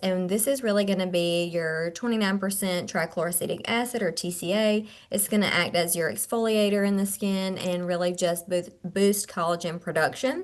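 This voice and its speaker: Over a quiet background, a woman uses a normal speaking voice at a medium pitch with ordinary pitch variation. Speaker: skincare clinician and trainer. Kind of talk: webinar product presentation. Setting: video call webinar.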